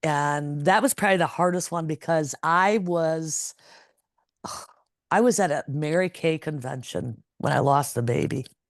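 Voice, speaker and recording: This woman's pitch is very deep and low, with ordinary variation. She talks at a fairly slow pace against a quiet background. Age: 60s. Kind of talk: interview answer.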